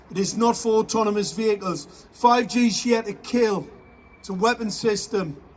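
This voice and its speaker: A man speaks at a moderate pace with a high pitch and ordinary pitch variation. His loudness swings widely, and there is noticeable background noise. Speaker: activist. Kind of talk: speech to a crowd. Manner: animated.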